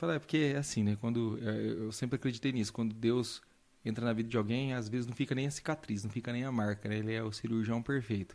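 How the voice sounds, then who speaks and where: Speaking at a very fast pace, a man keeps a medium pitch and fairly even intonation. The recording is very clean, with a silent background. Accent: slight Minas Gerais. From Brazil, south Minas Gerais (Pouso Alegre). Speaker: doctor. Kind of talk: interview testimony.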